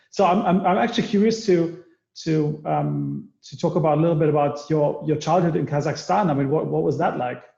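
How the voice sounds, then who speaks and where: A man speaks in a dark, mellow tone at a fairly high pitch with ordinary pitch variation. His fairly quick delivery carries audible room echo. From Germany, Berlin. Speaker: podcast host. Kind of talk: casual chat. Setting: video call.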